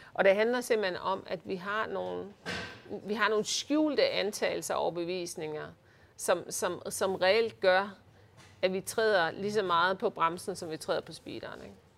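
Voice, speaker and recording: Here a woman has a plain, everyday voice with a medium pitch and ordinary pitch variation, speaking at a fairly slow pace. Her loudness swings a lot on a very clean recording with a silent background. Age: 50s. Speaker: leadership consultant. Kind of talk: interview. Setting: office by the harbour.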